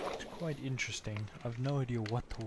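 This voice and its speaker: The man's voice is medium-pitched and quiet. Noticeable background noise runs behind him. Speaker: gaming streamer. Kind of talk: live game commentary. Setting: livestream. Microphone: mic too quiet.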